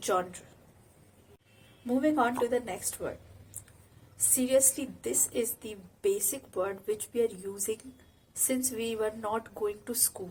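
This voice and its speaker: Very slow, somewhat breathy female speech at a fairly high pitch, with ordinary pitch variation and long, frequent pauses. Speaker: English pronunciation teacher. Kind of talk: educational talk to camera.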